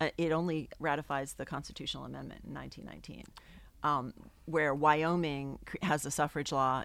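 Monotone and flat in intonation, a woman with a very deep, low pitch and vocal fry speaks at a fairly quick pace. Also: very clean recording, silent background. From New England. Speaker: professor. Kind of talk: casual interview.

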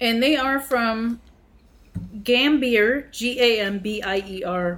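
Speaking very slowly with long, frequent pauses, a woman uses a fairly high voice with ordinary pitch variation. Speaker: podcast co-host. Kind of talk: reading headlines aloud; research presentation.

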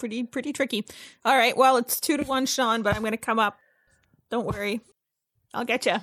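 A woman with a high voice talks at a fairly quick pace with fairly even intonation and long, frequent pauses, in a dry, close, very clean recording with no echo and a silent background. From Ontario, Canada. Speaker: podcast co-host. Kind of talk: casual chat.

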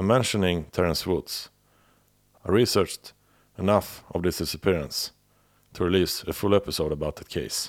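A man with a very deep, low pitch and a European accent, moderate pace, long and frequent pauses, ordinary pitch variation, on a very clean recording with a silent background. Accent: non-native European-accented English. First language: not English. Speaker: podcast host. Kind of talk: scripted narration of a true-crime series. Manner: slightly halting, with filler words.

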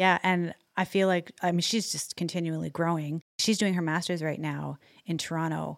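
A woman with a Canadian accent, fairly low in pitch, flat and monotone, at a moderate pace, in a dry, close sound with no echo. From Alberta, Canada. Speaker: podcast co-host. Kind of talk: interview conversation. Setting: video call.

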